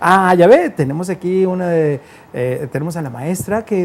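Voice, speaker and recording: A man with a Guadalajara accent speaks at a moderate pace. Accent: Mexican Spanish (Guadalajara). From Guadalajara, Jalisco, Mexico. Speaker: radio host and DJ. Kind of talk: casual interview. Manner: animated.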